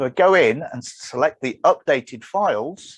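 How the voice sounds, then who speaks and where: This man's fairly high voice carries vocal fry, recorded with a dry, close sound and no echo. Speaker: software developer and conference speaker. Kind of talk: presentation.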